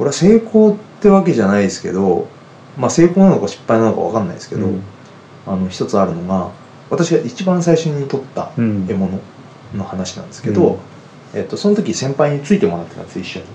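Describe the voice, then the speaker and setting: Talking very fast, a man with a fairly high pitch swings very widely in pitch and loudness, with noticeable background noise behind him. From Yamanashi, Kofu. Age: 40s. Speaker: hunter. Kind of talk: interview.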